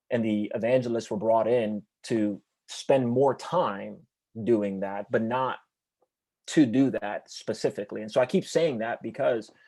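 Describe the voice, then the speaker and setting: Over a silent background on a very clean recording, a man speaks at a fairly slow pace in a dark, mellow tone. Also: medium pitch for a man, ordinary pitch variation. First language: Spanish. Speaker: church evangelist. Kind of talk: interview. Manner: halting.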